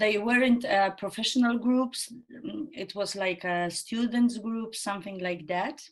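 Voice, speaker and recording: A woman with a Polish accent speaks at a very slow pace, her medium pitch rising and falling in an ordinary way. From Poland. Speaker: actress and improv theatre trainer. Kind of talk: podcast interview. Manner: halting, searching for words.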